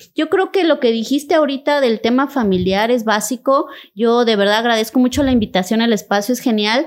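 Her high voice moves along at a fairly quick clip, with lively intonation and very even loudness throughout. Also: hardly any pauses, very clean recording, silent background. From Cintalapa, Chiapas, Mexico. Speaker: state official and human rights lawyer. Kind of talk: interview conversation.

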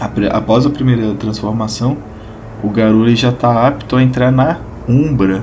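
Noticeable background noise and audible room echo accompany a man speaking at a medium pitch and a fairly slow pace with fairly even intonation. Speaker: podcast host and RPG game master. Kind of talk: solo explanatory podcast. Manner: casual and chatty.

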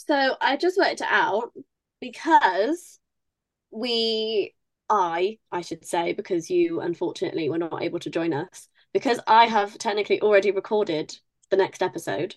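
A woman with a British accent speaks at a moderate pace in a fairly high pitch. Her voice swings very widely up and down. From UK. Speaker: podcast co-host, writer. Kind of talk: casual chat.

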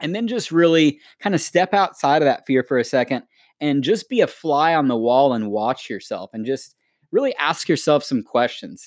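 A man's fairly high voice at a moderate pace, dry and close with no echo, a normal speaking voice. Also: very clean recording, silent background. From United States. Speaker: podcast co-host. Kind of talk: casual chat.

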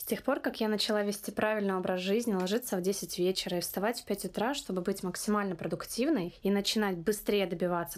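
A woman with an ordinary speaking voice, medium in pitch and with ordinary pitch variation, is heard in a very clean recording with a silent background. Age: 20s. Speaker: podcast host. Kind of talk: scripted monologue.

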